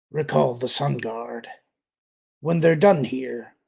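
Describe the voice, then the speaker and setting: Using a raspy, put-on character voice, a man speaks at a fairly slow pace and a medium pitch. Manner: menacing, commanding.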